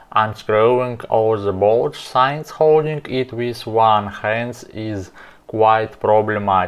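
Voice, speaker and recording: A man's medium-pitched voice with a non-native accent at a very slow pace. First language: not English. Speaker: car repair video maker. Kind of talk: tutorial.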